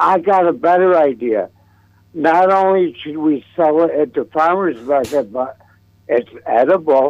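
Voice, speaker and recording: A man talks in a plain, everyday voice at a fairly slow pace. His fairly high pitch shows ordinary variation. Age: 60s. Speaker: caller. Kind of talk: casual call-in chat. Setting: phone call.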